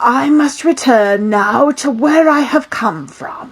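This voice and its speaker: A put-on character voice, raspy, at a fairly slow pace. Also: woman, high pitch for a woman. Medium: read story. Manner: mysterious, grandiose.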